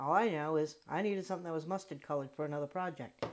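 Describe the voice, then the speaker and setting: Talking at a fairly quick pace, a woman with a Rhode Island accent has a fairly low pitch. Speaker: crafter. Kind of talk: craft tutorial talk. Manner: casual, chatty.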